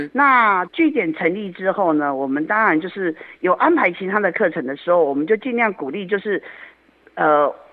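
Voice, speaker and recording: With a plain, everyday voice, a woman speaks at medium pitch and a moderate pace, her intonation lively. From Taiwan, Yilan. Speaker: community association director. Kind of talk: radio interview.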